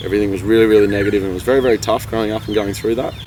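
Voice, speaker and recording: Through noticeable background noise comes a man with an Australian accent. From Australia, rural New South Wales. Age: 20s. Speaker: vlogger. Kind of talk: personal testimony.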